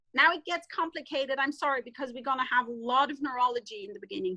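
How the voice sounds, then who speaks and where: A woman's raised, projected voice, high-pitched with a bright, sharp tone, at a fairly quick pace, dry and close with no echo. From German-speaking Europe. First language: German. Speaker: veterinarian. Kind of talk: webinar lecture. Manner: halting.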